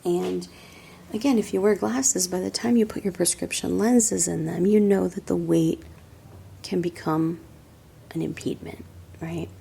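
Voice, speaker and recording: A soft-spoken woman with a relaxed tone. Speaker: optical shop owner / optician. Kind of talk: ASMR product show-and-tell. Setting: quiet indoor room, close-mic. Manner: soft-spoken, relaxed.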